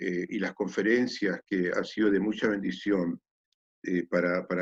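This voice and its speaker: The speech moves at a fairly slow pace with a dry, close sound and no echo. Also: man. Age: 60s. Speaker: pastor. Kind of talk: testimony. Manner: hesitant, many fillers.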